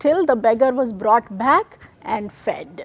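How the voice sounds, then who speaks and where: A woman with a Kannada accent speaks at a high pitch with lively intonation and a fairly slow pace. The sound is dry and close, with no echo. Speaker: TV show host, spiritual storyteller. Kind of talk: devotional storytelling presentation.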